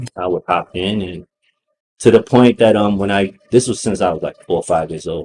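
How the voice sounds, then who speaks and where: In a dark, mellow tone, a man speaks at a moderate pace with a fairly low pitch and fairly even intonation, the sound dry and close with no echo. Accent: Brooklyn. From Brooklyn, New York, US. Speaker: hip hop artist. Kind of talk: interview.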